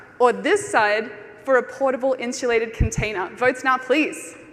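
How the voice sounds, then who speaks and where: A high-pitched woman at a moderate pace, lively intonation over noticeable background noise. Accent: Australian. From Australia (Brisbane). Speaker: conference speaker. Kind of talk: conference talk. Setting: stage with audience.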